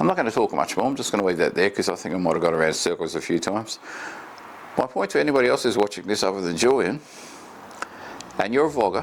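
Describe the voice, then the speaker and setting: Talking very fast with an Australian accent, a man with a fairly low pitch uses lively intonation and long, frequent pauses amid noticeable background noise. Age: 50s. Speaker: vlogger. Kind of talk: casual talk to camera. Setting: home desk, recorder 15 ft away. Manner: fast in talking-head videos. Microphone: far from the recorder.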